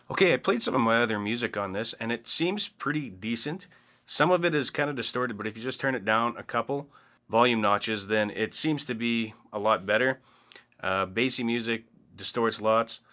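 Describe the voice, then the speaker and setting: Over a quiet background, a man with a bright, sharp tone speaks at a fairly quick pace with ordinary pitch variation. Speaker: product reviewer. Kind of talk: product review talk. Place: home room.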